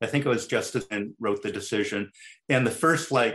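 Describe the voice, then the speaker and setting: With ordinary pitch variation and a medium pitch, a man talks in a plain, everyday voice. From Chicago. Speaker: employment lawyer. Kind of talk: interview.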